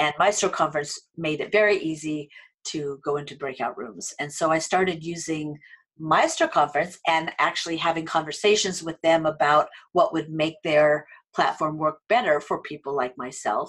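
A woman speaks with an American accent and a very deep, low pitch. Her intonation is fairly even, and her pace is moderate. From United States. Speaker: online training entrepreneur and adjunct faculty. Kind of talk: interview.

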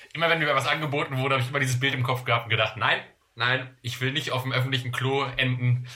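Very fast pace and fairly even intonation from a man. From Germany, various places. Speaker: podcast co-host. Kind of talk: casual chat. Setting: remote call.

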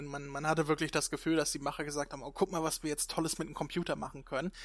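His pitch fairly high, a man speaks with monotone, flat intonation. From northern Germany. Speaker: podcast host. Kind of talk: casual chat.

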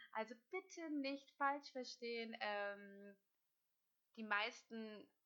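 This woman has a bright, sharp tone. Her pitch varies in an ordinary way. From northern Germany, Hamburg. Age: 30s. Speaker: dental practice management consultant. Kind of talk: solo podcast monologue. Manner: hesitant with many fillers.

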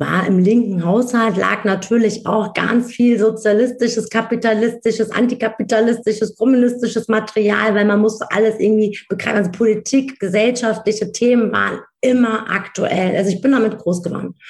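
Noticeable background noise sits behind a woman's voice. She talks at a fairly quick pace with a fairly high pitch. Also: fairly even intonation, hardly any pauses. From Germany, Wiesbaden (Hesse), Turkish family background. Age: 40s. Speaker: speaker and coach. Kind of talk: interview.

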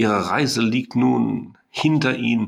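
Vocal fry runs through this man's very slow speech, which has lively intonation. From Germany, Sauerland. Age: 60s. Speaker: mathematics professor. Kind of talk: interview. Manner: hesitant, many filler sounds.

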